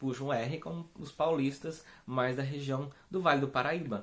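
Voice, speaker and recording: A man talks at a fairly slow pace. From Brazil, Espírito Santo. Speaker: religious community founder. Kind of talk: spiritual talk. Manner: hesitant, many fillers.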